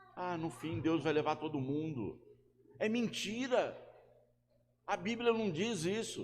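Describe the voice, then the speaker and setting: In a room with audible echo, a man speaks very slowly in a high voice with lively intonation and long, frequent pauses. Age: 60s. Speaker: pastor. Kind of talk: sermon.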